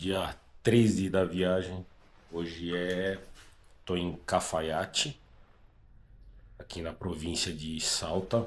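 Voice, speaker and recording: A man speaks at a very slow pace in a very deep, low pitch, with long, frequent pauses. His loudness swings widely, in a very clean recording with a silent background. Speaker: motorcycle travel vlogger. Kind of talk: travel vlog. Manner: casual, conversational.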